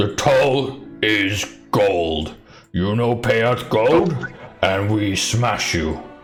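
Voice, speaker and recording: A booming, put-on character voice speaks at a very slow pace over clear music in the background. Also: man, fairly low pitch for a man. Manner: loud, threatening.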